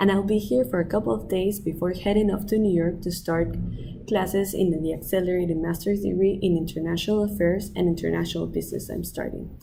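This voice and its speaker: Through noticeable background noise and audible room echo, a woman talks very fast in a fairly low voice with fairly even intonation. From Peru, Lima. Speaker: student. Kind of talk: application video monologue. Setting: outdoors by the ocean.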